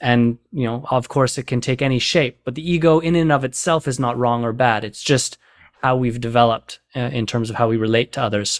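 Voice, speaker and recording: Dry and close with no echo, a man talks at a fairly quick pace in an unremarkable speaking voice, medium in pitch, with fairly even intonation. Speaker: podcast host and coach. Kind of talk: casual interview conversation.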